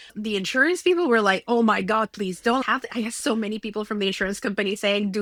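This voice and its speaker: A woman's very fast, animated speech at medium pitch, bright and sharp in tone, with ordinary pitch variation. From Mexico. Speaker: entrepreneur. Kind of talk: podcast interview.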